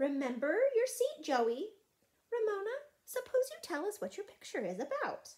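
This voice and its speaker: A woman's put-on character voice, squeaky and extremely high-pitched, gentle and warm in tone, with very wide pitch swings at a moderate pace. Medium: read story. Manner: gentle, warm.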